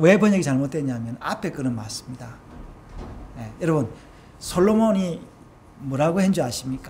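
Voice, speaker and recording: The speaker has a Gyeongsang accent, with very wide pitch swings and big swings in loudness. Long, frequent pauses break up the speech, and there is audible room echo. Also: man, fairly high pitch for a man, moderate pace. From Gyeongsang region, South Korea. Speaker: pastor. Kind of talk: sermon. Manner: halting, with many fillers.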